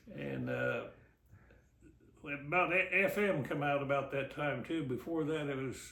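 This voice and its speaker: Amid noticeable background noise and audible room echo, a man with a Midwestern US accent speaks at a moderate pace and a fairly high pitch. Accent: rural Midwestern American. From Kansas, West Mineral. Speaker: local elder recounting family history. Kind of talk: oral history interview. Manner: halting.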